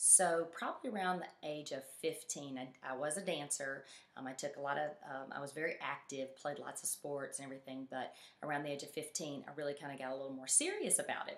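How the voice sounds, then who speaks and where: With a Southern US accent, a woman speaks fairly quickly in a very deep, low pitch and fairly even intonation. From Mississippi, US South. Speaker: fitness coach. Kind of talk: personal story presentation. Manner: halting, many fillers.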